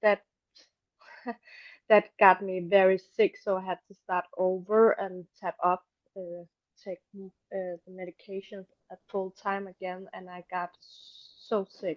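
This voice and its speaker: A woman with a non-native accent speaks at medium pitch and a very slow pace, with long, frequent pauses. Her intonation is monotone and flat while her loudness swings widely. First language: not English. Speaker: patient participant. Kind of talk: personal testimony. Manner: halting.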